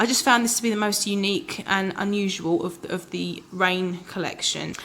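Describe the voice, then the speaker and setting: The woman speaks at a medium pitch. Her recording is very clean, with a silent background. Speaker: fragrance reviewer. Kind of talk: casual talk to camera. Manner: slightly erratic, bumbling at times.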